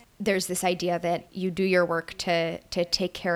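In an American accent, a woman with an unremarkable speaking voice and fairly low pitch talks at a moderate pace. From Brooklyn, New York. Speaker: podcast co-host. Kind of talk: casual discussion podcast.

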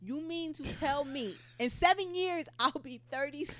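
At a moderate pace, a woman speaks with a high pitch, a fairly bright tone and ordinary pitch variation.

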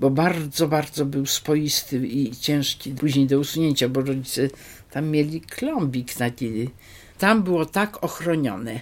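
Her pitch is very deep and low for a woman. Its variation stays ordinary. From Poland, Wrocław (from age 10; born Biała Podlaska). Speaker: retired dentist sharing memories. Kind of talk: oral history interview.

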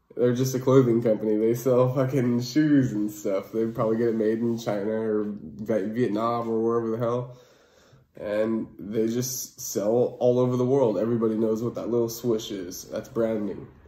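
A man at a medium pitch and moderate pace, with audible room echo. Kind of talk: casual monologue. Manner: casual, many fillers.

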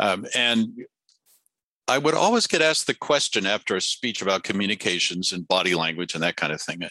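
Against a quiet background, a man's bright, sharp voice carries lively intonation with a dry, close sound and no echo. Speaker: communication coach and author. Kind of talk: interview. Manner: hesitant, many fillers.

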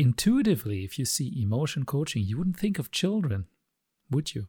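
A man with a non-native accent, fairly high-pitched and somewhat breathy, with very wide pitch swings, in a dry, close sound with no echo and a very clean recording over a silent background. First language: not English. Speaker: podcaster explaining concepts. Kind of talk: explanatory monologue. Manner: halting, hesitant with fillers.

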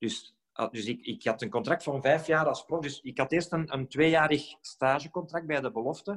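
A man with a fairly high pitch, ordinary pitch variation, a moderate pace and an unremarkable speaking voice. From Belgium, Flemish Brabant. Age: 40s. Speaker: former professional footballer. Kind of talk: podcast interview.

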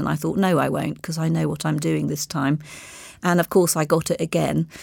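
A woman speaks with an RP accent. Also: very clean recording, silent background. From Bahamas, then English boarding school. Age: 60s. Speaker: marketing executive. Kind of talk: interview.

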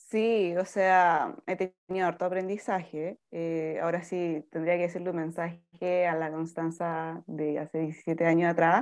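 A woman's fairly low, monotone voice with flat intonation, at a fairly slow pace with hardly any pauses, against a quiet background. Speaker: foundation founder. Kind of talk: interview.

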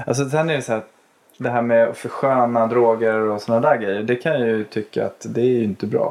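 A man speaks at a fairly quick pace. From Sweden, Stockholm. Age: 40s. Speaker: police chief. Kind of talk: casual interview.

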